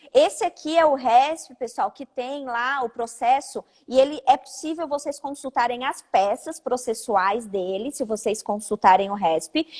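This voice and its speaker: A woman speaks at a fairly slow pace in a high voice. Her loudness swings widely. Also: dry, close sound with no echo. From Santa Catarina, Brazil (Orleans). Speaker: lawyer, live-stream host. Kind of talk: live-stream legal discussion. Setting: live video stream from her office.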